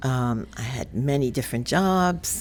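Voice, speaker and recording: In a New York accent, a woman speaks at a very slow pace with a very deep, low pitch. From New York City, the Bronx. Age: 70s. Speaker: podcast co-host. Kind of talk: casual chat. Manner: halting.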